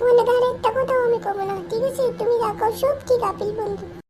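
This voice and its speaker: This cartoonish character voice moves at a fairly quick pace. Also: woman, extremely high pitch for a woman. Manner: squabbling, comic overacting.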